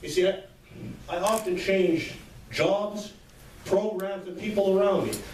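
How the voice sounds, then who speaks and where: A high-pitched man, fairly slow and monotone, with flat intonation, long, frequent pauses and noticeable background noise. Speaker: motivational speaker. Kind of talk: motivational speech.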